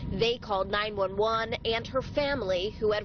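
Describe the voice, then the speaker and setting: A woman speaks at a moderate pace with a fairly high pitch and ordinary pitch variation, with noticeable background noise behind her. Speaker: TV news reporter. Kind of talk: TV news report.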